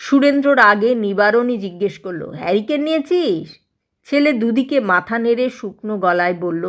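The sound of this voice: In an unforced reading voice with lively intonation, someone reads against a quiet background.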